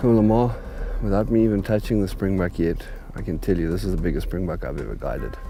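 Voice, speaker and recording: Over music in the background and audible room echo, a man talks very fast. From South Africa. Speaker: hunting guide. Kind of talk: on-camera field commentary. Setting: outdoors.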